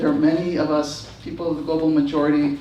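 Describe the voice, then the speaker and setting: Over noticeable background noise, the words pour out at a very fast pace. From Texas, San Antonio. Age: 60s. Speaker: activist and author on a panel. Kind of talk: panel talk. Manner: halting, many fillers.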